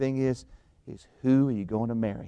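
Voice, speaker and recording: A normal speaking voice moves at a fairly quick pace. The recording is very clean and silent behind, with a dry, close sound and no echo. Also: man. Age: 50s. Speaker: pastor. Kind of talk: sermon. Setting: church.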